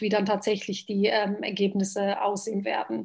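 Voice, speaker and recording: A woman speaks at a medium pitch and a fairly slow pace. The background is quiet. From Bosnia, Sarajevo; raised in Germany from age 11. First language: Bosnian (speaking German). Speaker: politician. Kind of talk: interview.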